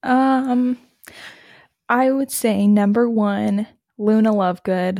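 This woman speaks at a very slow pace with a fairly high pitch. Her tone is dark and mellow, and her pitch varies in an ordinary way. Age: 20s. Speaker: podcast co-host. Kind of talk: casual chat. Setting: remote call from home.

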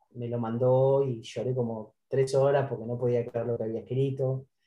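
A man talks in a monotone, flat intonation, somewhat breathy. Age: 50s. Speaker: author and publicist. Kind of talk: interview about his book.

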